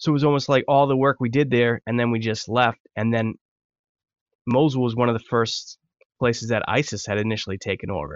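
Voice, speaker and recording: At a fairly quick pace, a man with an American accent uses an ordinary speaking voice, medium pitch and ordinary pitch variation. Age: 30s. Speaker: war veteran and writer. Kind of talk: interview.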